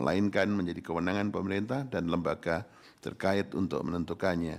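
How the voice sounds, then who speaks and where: A man speaks with a very deep, low pitch. His pace is fairly quick, with ordinary pitch variation. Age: 60s. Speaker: constitutional court judge. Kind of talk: reading court verdict aloud. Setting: courtroom. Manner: formal.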